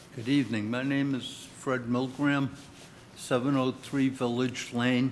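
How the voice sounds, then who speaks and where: A man speaks at medium pitch and a fairly slow pace. His intonation stays monotone and flat. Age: 80s+. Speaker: resident speaking at public meeting. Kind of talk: public comment.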